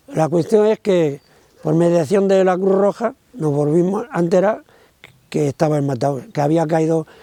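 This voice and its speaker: A man speaks at a fairly slow pace in a high pitch. His intonation is lively. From Spain, Córdoba province (Andalusia). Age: 80s+. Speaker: witness, son of a camp victim. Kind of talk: testimony. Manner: halting.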